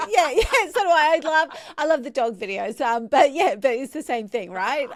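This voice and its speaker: With an Australian accent, the speaker's pitch swings very widely at a moderate pace. Noticeable background noise is present. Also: woman, high pitch for a woman. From Central Queensland, Australia. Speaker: podcast host. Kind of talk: interview.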